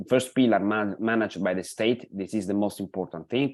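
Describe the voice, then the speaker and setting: Spoken with an Italian accent, the recording is very clean, with a silent background. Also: man. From Italy. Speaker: pension policy expert. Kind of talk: lecture. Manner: halting, many fillers.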